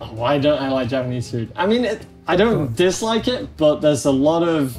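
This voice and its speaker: Very wide pitch swings over faint background music. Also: man, fairly high pitch for a man, moderate pace. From Yorkshire, England. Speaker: voice-over artist. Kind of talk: casual conversation. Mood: relaxed, gesturing. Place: cafe.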